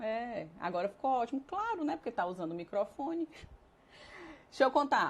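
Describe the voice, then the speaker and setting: A woman with a high pitch speaks at a moderate pace, her pitch swinging very widely and her speech broken by long, frequent pauses. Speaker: nutritionist and consultant. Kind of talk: live-streamed lecture. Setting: live stream.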